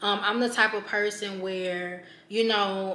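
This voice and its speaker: Audible room echo surrounds a woman as she speaks. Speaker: vlogger. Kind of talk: casual vlog chat. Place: home room.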